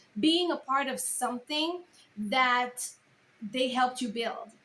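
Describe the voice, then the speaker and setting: A woman with a high pitch speaks in a Caribbean accent at a moderate pace. Noticeable background noise can be heard. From Caribbean island. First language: not English. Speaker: content creator and speaker. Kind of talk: casual vlog advice.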